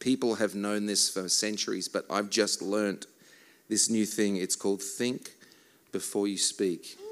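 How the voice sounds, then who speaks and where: Speaking fairly slowly in a flat monotone, a man with an Australian accent and a fairly low voice is heard in a very clean recording with a silent background. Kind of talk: church talk with songs, interpreted live. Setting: stage with audience.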